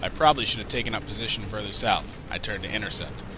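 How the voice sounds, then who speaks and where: A man speaks with music playing in the background. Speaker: gaming commentator. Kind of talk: game commentary and analysis.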